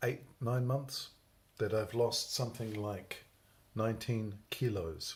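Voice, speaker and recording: A man's somewhat breathy voice with a British accent, at a very slow pace, with fairly even intonation and long, frequent pauses. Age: 60s. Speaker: vlogger with Parkinson's. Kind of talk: personal video diary. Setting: alone at home filming at night. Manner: rambling, unhurried.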